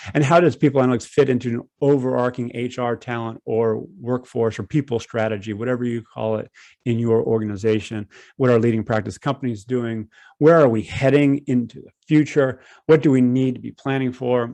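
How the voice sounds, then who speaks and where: Speaking with an American accent at a fairly quick pace, a man uses a medium pitch, a dark, mellow tone and fairly even intonation. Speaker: people analytics consultant and speaker. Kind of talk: conference talk. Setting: online webinar. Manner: fast.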